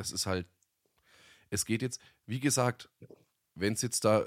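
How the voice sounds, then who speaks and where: His pitch variation is ordinary. This man has a fairly low voice. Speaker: podcast co-host, voice-over artist. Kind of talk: casual chat.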